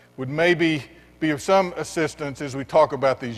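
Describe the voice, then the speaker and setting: Fairly high pitch from a man with a Texan accent at a fairly quick pace. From West Texas. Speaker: education nonprofit executive. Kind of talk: keynote speech. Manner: halting.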